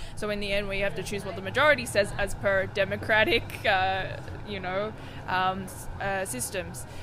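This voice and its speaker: With an Australian accent, a woman talks at a moderate pace amid noticeable background noise and audible room echo. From Australia, Sydney. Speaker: musician, performer. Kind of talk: casual interview.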